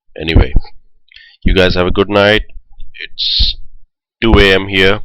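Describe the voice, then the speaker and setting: In an Indian accent, a man talks at a moderate pace. His pitch is fairly low and his intonation fairly even. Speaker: esports shoutcaster. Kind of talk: live commentary. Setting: live stream.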